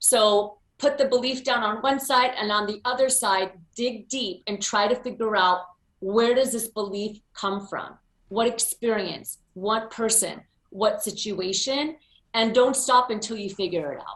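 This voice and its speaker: An ordinary speaking voice with an American accent and ordinary pitch variation. The pace is fairly slow. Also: woman, fairly high pitch for a woman. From US, Pennsylvania. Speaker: motivational speaker. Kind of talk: interview.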